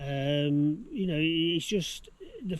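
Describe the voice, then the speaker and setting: With an English accent, a man speaks at a fairly high pitch with ordinary pitch variation. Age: 60s. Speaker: home renovation vlogger. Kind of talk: casual chat. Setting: outdoors. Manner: halting.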